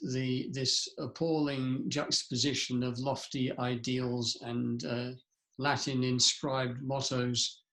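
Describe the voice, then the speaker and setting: A man's monotone, flat delivery at a very slow pace. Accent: English. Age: 70s. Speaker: founder and leadership speaker. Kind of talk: interview. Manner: reflective, with hesitations.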